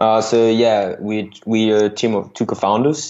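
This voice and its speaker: Through noticeable background noise, a man delivers his words at a fairly slow pace. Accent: French. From France. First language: French. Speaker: software startup founder. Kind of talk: interview. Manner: halting.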